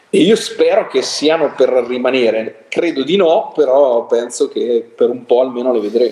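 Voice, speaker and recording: Amid noticeable background noise, a man speaks with hardly any pauses. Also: moderate pace. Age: 50s. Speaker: music critic. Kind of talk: casual chat.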